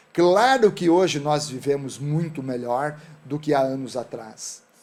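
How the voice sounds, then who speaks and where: An unremarkable speaking voice comes from a man at a fairly high pitch with ordinary pitch variation. He talks at a fairly slow pace in a very clean recording with a silent background. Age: 60s. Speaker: entrepreneur. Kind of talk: talk show interview.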